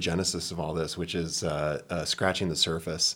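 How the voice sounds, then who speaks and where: His pace is fairly quick. The man keeps his intonation fairly even. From New Hampshire. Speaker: filmmaker. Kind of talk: casual chat.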